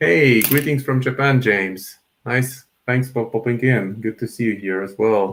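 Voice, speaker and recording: Speaking at a fairly slow pace with a Polish accent, a man shows ordinary pitch variation. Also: medium pitch for a man. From Poland. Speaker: miniature painter streamer. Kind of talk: live painting tutorial stream. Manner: casual, conversational.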